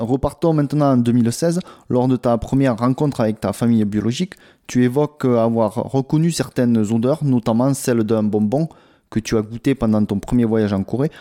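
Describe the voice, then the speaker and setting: With a dark, mellow tone, a man speaks at a moderate pace with ordinary pitch variation, the sound dry and close with no echo. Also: very even loudness, very clean recording, silent background. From South Korea. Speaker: podcast host, travel agency. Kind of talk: interview.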